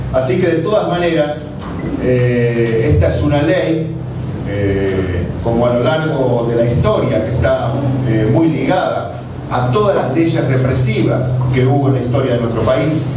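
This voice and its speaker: Over noticeable background noise and audible room echo, a man speaks at a fairly slow pace with ordinary pitch variation. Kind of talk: press conference statement. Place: meeting room.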